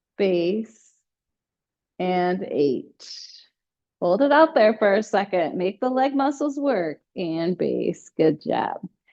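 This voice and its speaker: A woman's loud, dark, mellow voice at medium pitch, very slow with long, frequent pauses and very wide pitch swings. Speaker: fitness instructor. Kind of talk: exercise class instruction. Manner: louder, talking over others.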